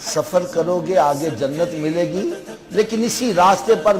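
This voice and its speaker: A man's voice is heard. Behind him runs noticeable background noise. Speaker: Islamic scholar giving a sermon. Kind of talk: Islamic sermon (bayan) to an audience.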